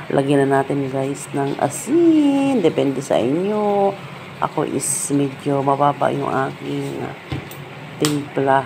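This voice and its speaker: This woman's speech unfolds extremely unhurriedly amid clearly audible background noise. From Bicol, Philippines. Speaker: home cooking vlogger. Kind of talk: cooking voice-over tutorial. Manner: casual, halting.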